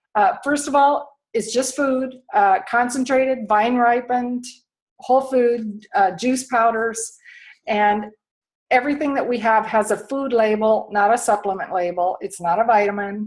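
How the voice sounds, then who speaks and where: Delivered at a fairly slow pace, a normal speaking voice moves with ordinary pitch variation. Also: woman, fairly high pitch for a woman. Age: 60s. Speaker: health and lifestyle coach. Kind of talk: sales pitch.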